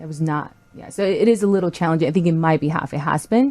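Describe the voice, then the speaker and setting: A woman talks at a very fast pace with a slight non-native accent and a fairly low pitch. Background noise is noticeable. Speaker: podcast co-host. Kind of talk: casual chat.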